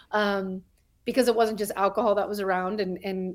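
A woman's normal speaking voice with an American accent, medium in pitch with fairly even intonation, on a very clean recording with a silent background. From New Mexico, US (Albuquerque). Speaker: podcast co-host in recovery. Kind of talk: casual interview.

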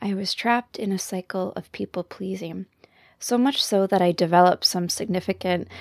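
Recorded very cleanly against a silent background with a dry, close sound and no echo, a woman with a Canadian accent uses an ordinary speaking voice at medium pitch, with ordinary pitch variation and a moderate pace. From Canada. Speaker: counselor and podcast host. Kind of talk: monologue podcast talk.

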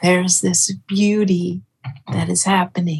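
A somewhat breathy woman's voice with an American accent, fairly low in pitch, with fairly even intonation. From Northern California. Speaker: folk musician. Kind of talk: casual chat. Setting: video call.

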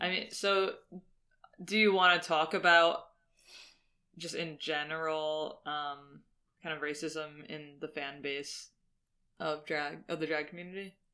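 The speech comes at a fairly slow pace, broken by long, frequent pauses. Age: 30s. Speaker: podcast co-host and designer. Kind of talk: casual chat.

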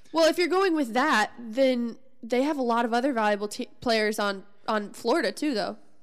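A woman speaks at a moderate pace with a Midwestern American accent. Her high voice carries lively intonation. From US Midwest. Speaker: sports podcast co-host. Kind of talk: casual chat.

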